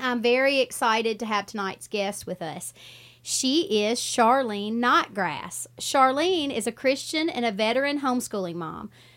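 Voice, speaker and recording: A woman with an ordinary speaking voice, fairly high pitch, lively intonation and a fairly slow pace, on a very clean recording with a silent background. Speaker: radio host. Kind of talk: radio interview. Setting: radio studio.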